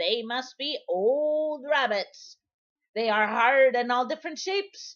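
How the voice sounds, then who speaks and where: Using a put-on character voice, a woman speaks at a fairly slow pace with a high pitch and lively intonation. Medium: read story. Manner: scolding, impatient.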